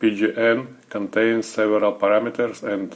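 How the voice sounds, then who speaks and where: A man talks at a very slow pace with a non-native accent. His fairly low voice stays monotone, with flat intonation. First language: not English. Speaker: software service developer. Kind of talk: tutorial. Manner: halting, many filler sounds.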